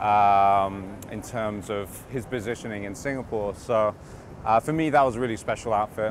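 A man with a normal speaking voice and fairly low pitch talks at a moderate pace with fairly even intonation, in a dry sound with no echo and light background noise. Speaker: actor being interviewed. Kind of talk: interview answer. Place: street.

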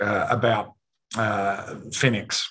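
Against a quiet background, a man talks at a medium pitch with an Australian accent. His intonation is fairly even. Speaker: mining company chairman; presenter. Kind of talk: company presentation. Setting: remote video link from a conference. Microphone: video call.

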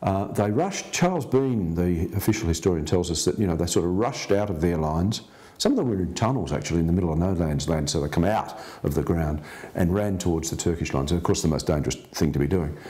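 Speaking at a very fast pace, a man has a very deep, low pitch, a dark, mellow tone and ordinary pitch variation. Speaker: interviewee. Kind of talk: interview answer. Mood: earnest storytelling. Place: home room.

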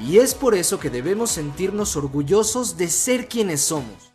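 Music plays in the background as a man speaks at a fairly slow pace. His pitch is high and swings very widely. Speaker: voice actor. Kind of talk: TV commercial read.

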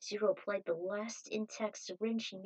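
The intonation is fairly even. The text is given as plain reading aloud.

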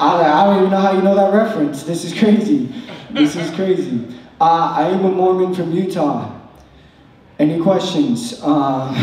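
With lively intonation, a man speaks amid audible room echo. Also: moderate pace. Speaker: stand-up comedian. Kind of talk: stand-up comedy routine. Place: stage.

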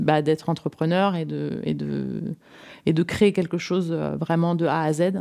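The voice is a woman's, with a fairly low pitch. Her tone is dark and mellow. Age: 40s. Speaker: entrepreneur, interior designer. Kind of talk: interview. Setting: at her home. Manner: halting, many fillers.

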